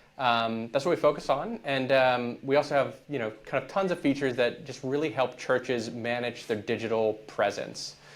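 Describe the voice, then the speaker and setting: A man with a plain, everyday voice, medium pitch, ordinary pitch variation and an American accent, at a moderate pace with hardly any pauses. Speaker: church tech company founder. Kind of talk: podcast interview.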